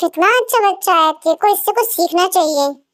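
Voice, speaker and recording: A woman does a put-on, squeaky character voice at an extremely high pitch, keeping her loudness very even. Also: moderate pace. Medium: fan dub. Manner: pompous.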